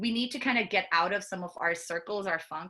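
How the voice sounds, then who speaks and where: With an Indian accent, a woman speaks at a fairly quick pace in a bright, sharp tone. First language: Hindi. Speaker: product manager and children's book author. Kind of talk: conference talk. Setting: virtual conference.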